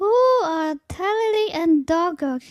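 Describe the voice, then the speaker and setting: A put-on character voice, squeaky in tone, moves along at a fairly slow pace. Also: female-sounding voice, extremely high pitch for a woman. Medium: read story. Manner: bright, bossy-affectionate.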